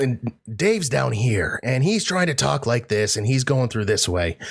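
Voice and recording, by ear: Putting on a character voice, a man speaks at a moderate pace in a gravelly, medium-pitched voice with very wide pitch swings and very even loudness.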